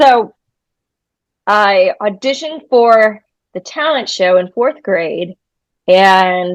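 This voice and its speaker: On a dry, close recording with no echo, a woman with an American accent speaks at a medium pitch with lively intonation and long, frequent pauses. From New Hampshire, US, after early years in New York. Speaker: musician. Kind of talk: interview. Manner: blunt, unfiltered.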